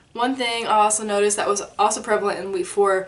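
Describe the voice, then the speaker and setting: A woman talks while noticeable background noise carries on around her. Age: 20s. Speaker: vlogger. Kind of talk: casual vlog update. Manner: soft-spoken; casual, filler-heavy.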